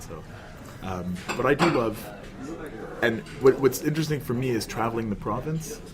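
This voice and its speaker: Speaking fairly quickly and with lively intonation, a man is heard amid noticeable background noise and audible room echo. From Montreal, Quebec (Anglophone). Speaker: political party organizer. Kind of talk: casual podcast interview. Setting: cafe.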